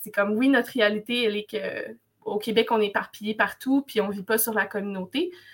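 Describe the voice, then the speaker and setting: It is a plain, everyday voice. The woman speaks at a fairly high pitch and a moderate pace with ordinary pitch variation. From Quebec, Wolastoqey community near Cacouna. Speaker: language student and cultural facilitator. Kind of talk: casual interview.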